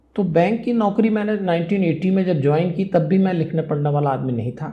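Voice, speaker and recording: A man's high-pitched voice, with noticeable background noise and audible room echo. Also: ordinary pitch variation, moderate pace. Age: 60s. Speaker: spiritual speaker and life management guru. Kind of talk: interview.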